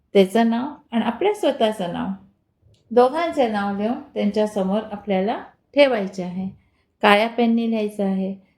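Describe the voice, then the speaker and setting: A woman with a non-native accent speaks at a fairly high pitch with ordinary pitch variation. The recording is very clean, with a silent background. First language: not Marathi (speaking Marathi). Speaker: devotional YouTuber. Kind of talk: spiritual remedies tutorial.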